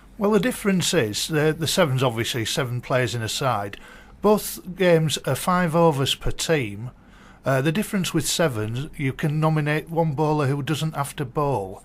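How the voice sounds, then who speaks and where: A man with a Yorkshire accent speaks at a moderate pace and fairly high pitch. His intonation is lively, and the recording is very clean with a silent background. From northern England, Yorkshire. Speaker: cricket tournament media man. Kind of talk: radio interview. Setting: radio studio.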